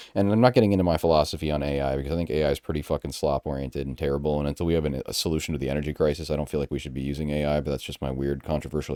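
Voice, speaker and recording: A man's very deep, low voice at a very fast pace with hardly any pauses, a dry, close sound with no echo and noticeable background noise. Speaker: gaming YouTuber. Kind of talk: casual screen-recorded tutorial. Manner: monotone.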